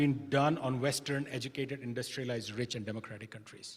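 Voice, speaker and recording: A man's voice, somewhat breathy. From India. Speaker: keynote speaker, professor. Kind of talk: conference keynote talk.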